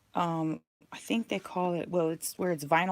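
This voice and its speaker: Heard in a dry, close sound with no echo, a woman with a normal speaking voice and a fairly low pitch talks at a fairly slow pace with fairly even intonation. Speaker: sewing YouTuber. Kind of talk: casual haul video.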